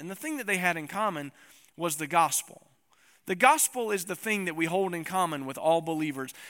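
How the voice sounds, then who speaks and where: On a very clean recording with a silent background, a man with a Tennessee accent talks fairly quickly in a high voice with a bright, sharp tone. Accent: Southern US (Tennessee). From East Tennessee. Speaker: pastor. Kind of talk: sermon. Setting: church.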